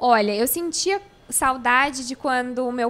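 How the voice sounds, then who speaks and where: A woman's high-pitched, raised and projected voice with lively intonation. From Santa Catarina, Brazil (Florianópolis), then Rio Grande do Sul from 14. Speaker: YouTuber, crossfit enthusiast and new mother. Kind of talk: casual interview chat. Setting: podcast studio with cameras.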